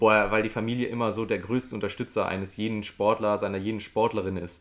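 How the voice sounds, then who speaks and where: A male monotone, flat in intonation and fairly low in pitch. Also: very clean recording, silent background. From western Germany, near Düren (Rhineland). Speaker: goalball player, visually impaired athlete. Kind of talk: interview.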